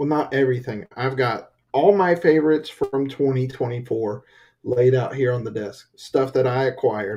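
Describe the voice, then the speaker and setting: Speaking at a moderate pace in a Southern accent, a man has a medium pitch, a dark, mellow tone and a somewhat breathy sound. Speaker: podcast co-host. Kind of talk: casual chat.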